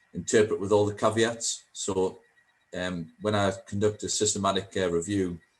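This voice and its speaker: A man with a Geordie accent talks at a moderate pace, his fairly low pitch held in a monotone, flat intonation. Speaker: statistician. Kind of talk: panel Q&A. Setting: video call. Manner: hesitant, many fillers.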